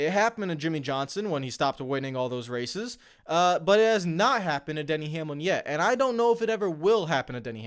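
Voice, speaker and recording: A man speaks loudly at a very fast pace, with high pitch and very wide pitch swings. The recording is very clean, with a silent background. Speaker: NASCAR YouTuber. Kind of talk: commentary monologue. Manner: louder and brash on mic; animated.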